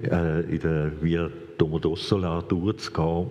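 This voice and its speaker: Very deep and low, this man's voice has a dark, mellow tone. His intonation is monotone and flat. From Switzerland, grew up speaking standard German (Viennese parents). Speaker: former bank robber, speaker on reconciliation. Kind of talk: live talk interview before audience.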